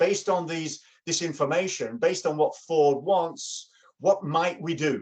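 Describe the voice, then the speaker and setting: Here a man speaks in an English accent. His voice is fairly high and his pace moderate. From England. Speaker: workshop facilitator. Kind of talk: workshop presentation. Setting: video call.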